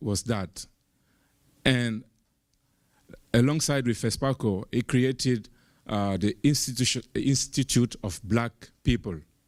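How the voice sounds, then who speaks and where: In a very clean recording with a silent background, a man speaks at a very slow pace with a medium pitch and ordinary pitch variation. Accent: American. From Burkina Faso. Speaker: panel speaker, activist. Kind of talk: panel discussion storytelling. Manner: halting, many fillers and repeats.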